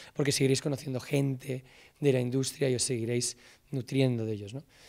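Against a quiet background, a man talks at a fairly quick pace with a Castilian accent. His voice has a dark, mellow tone. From Spain, Salamanca; Spain. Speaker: film director and screenwriter. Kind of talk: talk to students. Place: stage. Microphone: handheld.

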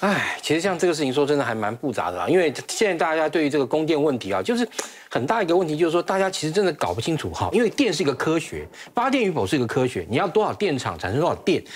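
A man speaks at a very fast pace with a fairly high pitch. His voice makes very wide pitch swings. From Taiwan. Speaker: military expert; TV talk-show guest commentator. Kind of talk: TV panel debate. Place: studio.

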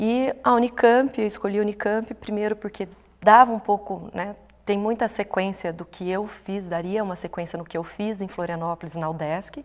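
A woman's moderately paced speech, with ordinary pitch variation, comes through against a quiet background. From Brazil, Londrina (Paraná); Paraná, Brazil. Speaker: sports science researcher and lecturer; lecturer. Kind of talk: interview. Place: studio. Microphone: lapel.

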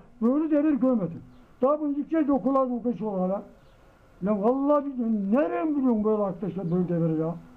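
An extremely high-pitched man talking at a very fast pace. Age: 80s+. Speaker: elderly villager. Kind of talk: casual interview. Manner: animated. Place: street. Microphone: camera far.

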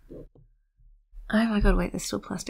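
The woman is soft-spoken. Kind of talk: soft-spoken ASMR chat. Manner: soft-spoken, rambling.

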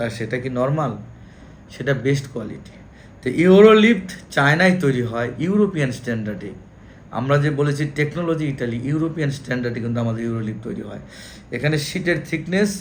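Recorded with audible room echo, a man speaks in a somewhat breathy, fairly high voice. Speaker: engineer and lift company owner. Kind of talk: sales pitch. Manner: halting.

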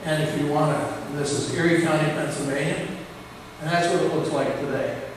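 Through noticeable background noise and strong room echo, a man with an American accent speaks fairly slowly at a fairly high pitch in a monotone, flat intonation. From Western New York (Clymer area). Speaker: professor. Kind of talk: lecture. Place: hall.

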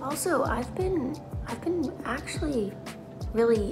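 A woman is speaking. Clear music plays behind her. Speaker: runner vlogger. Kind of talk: casual vlog chat. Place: home room. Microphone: phone near.

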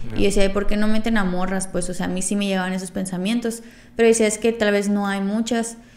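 With audible room echo, a woman talks at a very fast pace in a medium pitch and a monotone, flat intonation. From Veracruz and Tijuana, Mexico. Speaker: popping dancer and podcast co-host. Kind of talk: casual chat.

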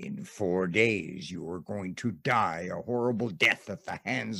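Put-on character voice from a man, fairly low pitch, fairly slow pace. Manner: menacing, devilish.

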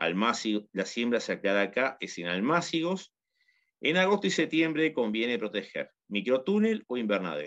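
At a moderate pace over a quiet background, the speaker swings very widely in pitch with a Uruguayan accent. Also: man, medium pitch for a man. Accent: Uruguayan Rioplatense Spanish. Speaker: agronomist teaching home gardening. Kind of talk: tutorial.

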